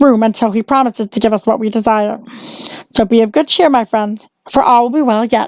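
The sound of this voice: An unforced reading voice is what this clip offers.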